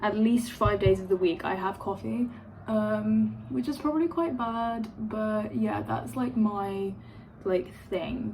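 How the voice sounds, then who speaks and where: A woman speaks with a London accent at a very slow pace. There is noticeable background noise. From London, England. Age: 20s. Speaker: vlogger, university student. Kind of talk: casual get-ready-with-me vlog. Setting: at home by an open window. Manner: filler-heavy, rambling with many ums and likes.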